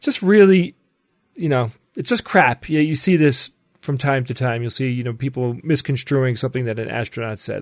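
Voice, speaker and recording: Against a quiet background, a man speaks with an ordinary speaking voice. His pace is fairly quick and his intonation lively. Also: medium pitch for a man. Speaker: podcast co-host. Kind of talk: casual chat.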